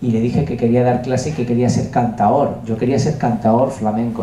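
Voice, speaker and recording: Against noticeable background noise and audible room echo, a man with a medium pitch speaks at a moderate pace in a monotone, flat intonation. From Andalusia, Huelva (Spain). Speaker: music producer and composer. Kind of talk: masterclass talk. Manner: hesitant, many fillers.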